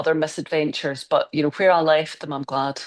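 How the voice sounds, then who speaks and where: With a Scottish accent, a woman speaks in a very deep, low pitch and fairly even intonation. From Scotland. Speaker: crime novelist. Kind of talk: interview answer.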